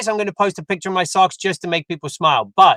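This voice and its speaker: In a British accent, a man speaks at a very fast pace with a high pitch and a bright, sharp tone, in a dry, close sound with no echo. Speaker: real estate agent. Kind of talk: interview conversation.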